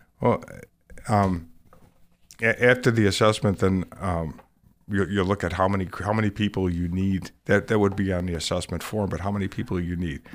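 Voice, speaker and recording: Very deep and low, a man's voice holds fairly even intonation. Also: moderate pace. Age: 60s. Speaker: volunteer leader. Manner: halting.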